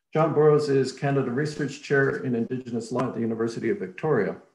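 The room echo is audible around a man speaking in a somewhat breathy voice. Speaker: academic host introducing speaker. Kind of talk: formal introduction.

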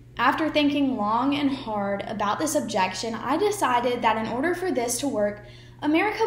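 A woman's high-pitched voice at a moderate pace, with very wide pitch swings and audible room echo. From United States. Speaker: student speaker; speaker. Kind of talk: persuasive speech. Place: home room. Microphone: webcam.

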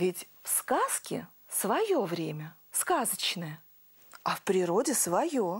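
Speaking slowly, a woman with a medium pitch and a husky, rough edge makes big pitch swings.

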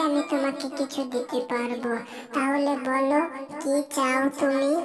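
A cartoonish character voice at a fairly slow pace over clear music in the background. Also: female-sounding voice. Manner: kind, soothing.

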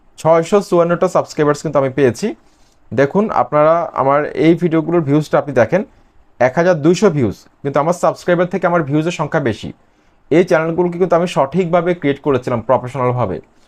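With ordinary pitch variation, a man speaks in an unremarkable speaking voice. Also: fairly high pitch for a man. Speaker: YouTube growth service seller. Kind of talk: sales pitch.

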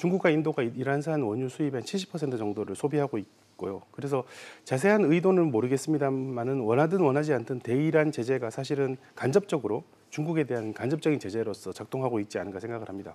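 A man's dark, mellow tone at a fairly quick pace, with lively intonation. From South Korea. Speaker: economics professor. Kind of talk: news interview. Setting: studio. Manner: halting, many fillers. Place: studio. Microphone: lapel.

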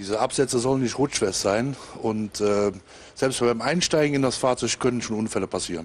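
This man talks at a moderate pace. His pitch variation is ordinary. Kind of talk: interview answer. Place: garage. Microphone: handheld.

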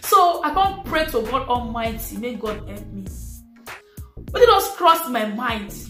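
A woman at a very slow pace, with audible room echo and faint background music. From Nigeria. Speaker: YouTuber. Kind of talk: casual talk to camera. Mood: animated, acting out frustration. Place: home room.

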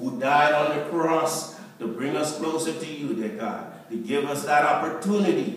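Strong room echo fills the space as a man talks at a fairly slow pace. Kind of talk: prayer. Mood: earnest, reverent. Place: church. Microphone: camera far.

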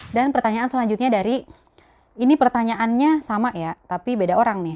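At a moderate pace, the voice carries a dark, mellow tone and ordinary pitch variation. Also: woman. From Jakarta, Betawi; Jakarta. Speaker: YouTuber, mother; YouTuber. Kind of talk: casual Q&A vlog. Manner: chatty, laughing. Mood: relaxed, warm, animated. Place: home room. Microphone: lapel.

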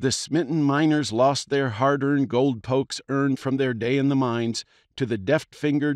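A man speaks in an ordinary speaking voice, fairly high-pitched with ordinary pitch variation. His pace is moderate and the background is quiet. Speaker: audiobook narrator. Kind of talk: audiobook reading; scripted narration of a historical tale. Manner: steady, measured storytelling pace; clear, formal, expressive.

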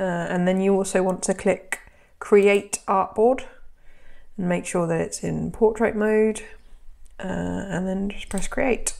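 A woman speaks with a British accent at a fairly slow pace. Her pauses are long and frequent. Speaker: sewing content creator and pattern designer. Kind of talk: tutorial. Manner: casual, friendly.

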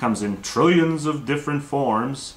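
A man with ordinary pitch variation. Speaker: video blogger. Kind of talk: casual vlog argument. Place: home room. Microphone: webcam.

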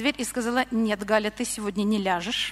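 A woman speaks in a bright, sharp tone with ordinary pitch variation. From Russia. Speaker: church member. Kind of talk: testimony. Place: church. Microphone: handheld.

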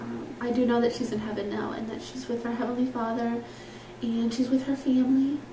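A woman speaks at a moderate pace and a fairly high pitch, with a slightly mellow tone and fairly even intonation. Room echo can be heard.

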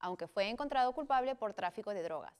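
Against a quiet background, a woman talks in a fairly high pitch with lively intonation. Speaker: co-anchor. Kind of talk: news reading. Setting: studio. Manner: formal, even and measured newsreader tone. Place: studio. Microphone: lapel.

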